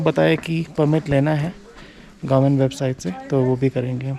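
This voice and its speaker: Noticeable background noise runs through the clip. Over it, a man's speech moves at a moderate pace. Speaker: travel vlogger. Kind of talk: casual vlog chat. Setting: outdoors at a monastery. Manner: halting, code-switching.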